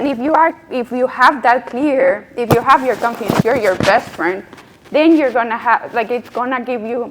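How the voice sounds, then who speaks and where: A woman speaks with a Colombian accent at a high pitch and a moderate pace. Her pitch varies in an ordinary way over noticeable background noise. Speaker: UX strategist. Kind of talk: panel discussion.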